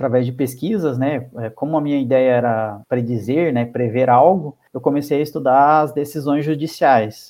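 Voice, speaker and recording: A man has an unremarkable speaking voice at a fairly high pitch. He keeps a moderate pace with ordinary pitch variation. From Curitiba, southern Brazil. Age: 30s. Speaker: statistician and professor. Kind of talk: interview about research.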